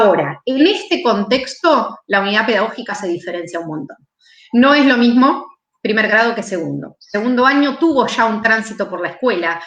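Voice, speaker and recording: A woman speaks at a fairly high pitch, her voice swinging very widely up and down. The room echo is audible. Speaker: math education specialist, teacher trainer. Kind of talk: lecture, online teacher training talk. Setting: live stream presentation. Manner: fast.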